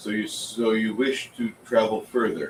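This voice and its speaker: Using a booming, put-on character voice, a man speaks at medium pitch and a moderate pace. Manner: kind.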